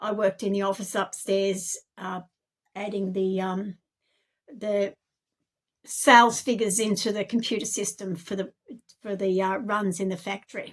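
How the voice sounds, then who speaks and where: At a moderate pace, a woman with an Australian accent and a medium pitch speaks in a monotone, flat intonation, taking long, frequent pauses. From Australia, Campbelltown NSW. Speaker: self-made video narrator. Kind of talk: personal testimony monologue. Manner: halting, many fillers.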